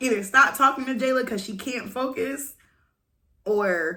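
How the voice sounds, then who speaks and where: Loud and animated, a woman's voice comes through with a bright, sharp tone. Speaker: vlogger. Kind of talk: casual rant to camera.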